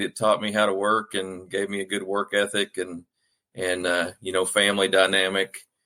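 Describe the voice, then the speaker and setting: In a bright, sharp tone, a man with a Southern US accent speaks at a fairly low pitch. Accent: Southern US accent, noticeable. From Arkansas, US South. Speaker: author. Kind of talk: podcast interview. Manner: hesitant, many fillers.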